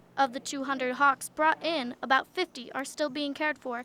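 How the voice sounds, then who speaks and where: The voice is raised and projected, with a bright, sharp tone. It moves at a fairly quick pace. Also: woman. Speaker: TV news reporter. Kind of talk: TV news report.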